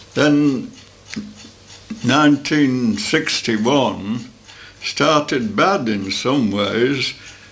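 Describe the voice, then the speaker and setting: With music playing behind him, a man speaks using ordinary pitch variation. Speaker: grandfather recounting his autobiography. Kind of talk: memoir recollection. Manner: casual, reminiscing, with hesitations.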